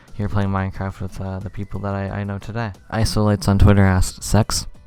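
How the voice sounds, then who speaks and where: Soft-spoken and fairly low in pitch, a man talks at a fairly quick pace. His intonation is monotone and flat. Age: 20s. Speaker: Minecraft YouTuber. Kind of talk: casual Q&A chat. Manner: quiet, soft-spoken; trying to be louder than usual.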